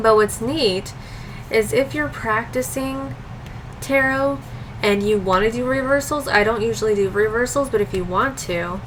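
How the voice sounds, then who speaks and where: Her fairly high voice swings very widely in pitch, while audible room echo and noticeable background noise fill the space around this woman. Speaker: tarot and oracle card youtuber. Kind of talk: casual video review of card decks.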